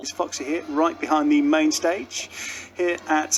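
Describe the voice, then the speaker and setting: A man's voice with music in the background. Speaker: radio presenter. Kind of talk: radio presenting.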